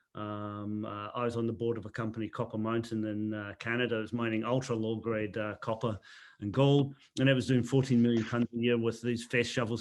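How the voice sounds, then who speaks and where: A man's very fast, monotone, flat delivery at medium pitch, in a strong Australian accent. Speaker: mining company executive. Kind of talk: webinar Q&A. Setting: online webinar call.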